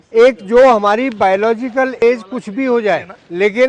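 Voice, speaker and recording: A high-pitched man is captured with a dry, close sound and no echo. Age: 70s. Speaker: doctor demonstrating exercises for seniors. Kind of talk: exercise demonstration.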